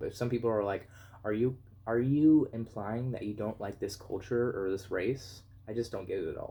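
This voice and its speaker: The tone is dark and mellow, somewhat breathy, with fairly even intonation at a moderate pace. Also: man. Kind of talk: opinion video essay. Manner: monotone.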